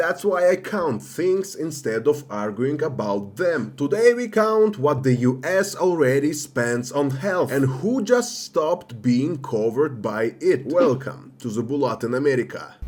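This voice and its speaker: With music in the background, a man with a non-native accent speaks at a fairly slow pace and fairly high pitch, using very wide pitch swings and hardly any pauses. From outside the US. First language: not English. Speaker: political commentary youtuber. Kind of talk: scripted narration. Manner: reads from notes.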